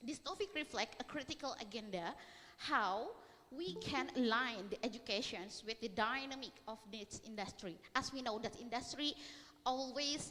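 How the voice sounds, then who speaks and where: Noticeable background noise sits behind a woman speaking in a high pitch. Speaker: academic researcher. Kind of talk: conference presentation. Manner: halting, frequent fillers.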